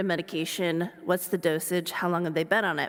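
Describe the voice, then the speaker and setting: Speaking at a fairly quick pace, a woman with an American accent has a plain, everyday voice at a medium pitch. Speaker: sports medicine physician. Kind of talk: lecture.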